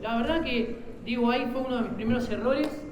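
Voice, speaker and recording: A man's extremely high-pitched voice at a moderate pace, with noticeable background noise and audible room echo. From Argentina. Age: 50s. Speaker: business owner. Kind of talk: panel talk. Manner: hesitant, many fillers.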